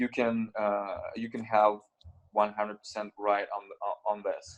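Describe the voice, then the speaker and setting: A man with a Russian accent talks at a fairly slow pace in a fairly low, flat, monotone voice. The sound is dry and close, with no echo. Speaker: crypto exchange founder. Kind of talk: interview. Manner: halting.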